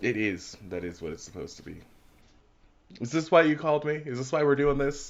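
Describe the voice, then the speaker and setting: Mumbling at a fairly quick pace, a man with a fairly high pitch uses lively intonation, big swings in loudness and long, frequent pauses. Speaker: podcast co-host. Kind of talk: casual chat.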